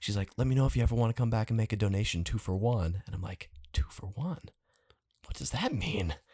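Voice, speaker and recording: Very fast in pace, a man speaks in a dark, mellow tone at a fairly low pitch, somewhat breathy, with lively intonation. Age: 20s. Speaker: podcast guest. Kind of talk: casual chat.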